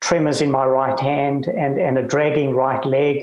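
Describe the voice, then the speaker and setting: A man's voice with audible room echo. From South Africa, Cape Town. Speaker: retired lawyer and author living with Parkinson's. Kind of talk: interview. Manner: halting.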